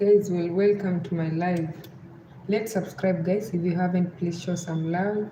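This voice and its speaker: Delivered at a fairly slow pace in a western Kenyan accent, the speech has a monotone, flat intonation and audible room echo. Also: woman, fairly low pitch for a woman. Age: 30s. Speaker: live streamer. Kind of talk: live stream chat. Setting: at home.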